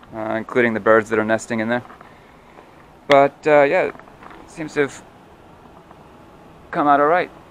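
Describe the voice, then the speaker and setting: Noticeable background noise accompanies a man with a medium pitch and ordinary pitch variation. He keeps a moderate pace but takes long, frequent pauses. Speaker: boat captain and dinghy builder. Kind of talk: casual talk to camera.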